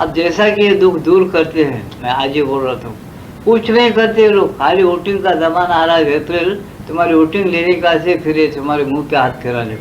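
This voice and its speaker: With audible room echo and noticeable background noise, a man talks at a moderate pace in a high pitch with ordinary pitch variation. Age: 70s. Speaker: spiritual teacher. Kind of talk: spiritual discourse. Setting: satsang gathering. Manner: conversational, repetitive.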